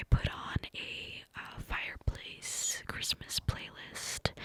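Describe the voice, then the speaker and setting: A woman whispers very slowly in a dry, close sound with no echo, with noticeable background noise. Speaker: mother and ASMR content creator. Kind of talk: ASMR storytime ramble, cupped whisper. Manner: whispered, close, breathy, clicky.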